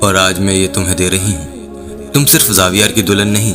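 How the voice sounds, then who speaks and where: Music plays in the background as a man talks at a fairly low pitch. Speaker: voiceover artist. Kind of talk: serialized story narration.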